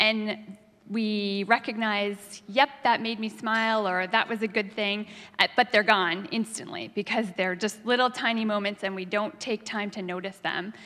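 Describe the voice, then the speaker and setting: In a monotone, flat intonation, a woman speaks over a quiet background. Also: moderate pace. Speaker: preacher. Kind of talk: sermon. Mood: warm, amused storytelling. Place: church. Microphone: handheld.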